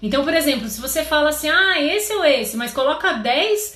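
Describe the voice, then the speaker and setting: A woman speaks in a high, raised, projected voice at a fairly quick pace with very wide pitch swings, over noticeable background noise and audible room echo. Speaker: confectionery business coach. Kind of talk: live stream tutorial. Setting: live stream.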